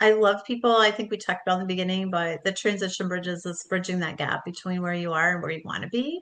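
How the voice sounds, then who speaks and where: Against a quiet background, a woman speaks at a very fast pace with hardly any pauses and fairly even intonation. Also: medium pitch for a woman. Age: 60s. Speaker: book coach and author. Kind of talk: casual interview chat. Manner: warm, conversational with fillers.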